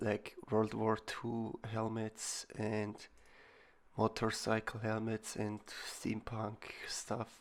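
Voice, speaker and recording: A man's medium-pitched voice with a non-native accent, a bright, sharp tone, monotone, flat intonation and a very slow pace. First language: not English. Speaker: digital artist. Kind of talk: tutorial voiceover. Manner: halting.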